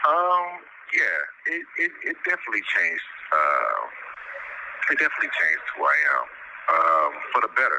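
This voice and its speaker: Noticeable background noise sits behind a man talking at a moderate speed. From Chicago. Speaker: incarcerated man. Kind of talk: interview. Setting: phone call. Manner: halting.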